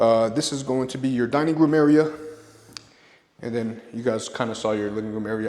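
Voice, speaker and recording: With a medium-pitched voice, a man delivers his lines fairly quickly. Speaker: real estate agent. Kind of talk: home tour walkthrough. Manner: fast; casual, upbeat.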